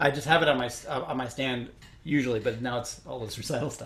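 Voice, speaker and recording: A man with a slight Chicago accent talks at medium pitch and a fairly quick pace. His voice is somewhat breathy, with fairly even intonation. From Chicago, US Midwest. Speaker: orchestral trumpet player. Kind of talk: interview Q&A. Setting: recorded at home, online Q&A. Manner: halting, many fillers.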